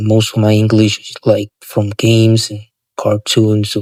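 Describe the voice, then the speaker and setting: With a non-native accent, a man speaks at a fairly slow pace and fairly low pitch, his dark, mellow tone monotone and flat, in a dry, close sound with no echo. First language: not English. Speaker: vlogger. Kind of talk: casual monologue. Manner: halting, many fillers.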